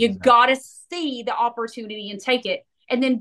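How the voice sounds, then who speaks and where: With an East Tennessee accent, a woman speaks high in pitch, her tone bright, sharp, animated and energetic. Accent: US Southern (East Tennessee). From Tennessee, Knoxville. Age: 40s. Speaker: real estate broker. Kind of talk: interview. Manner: animated, energetic.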